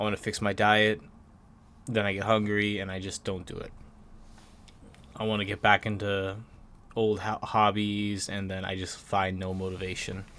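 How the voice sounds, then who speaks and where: Fairly low male speech at a moderate tempo, intonation flat and monotone. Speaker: gaming YouTuber. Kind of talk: personal vlog confession. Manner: halting; slurred words.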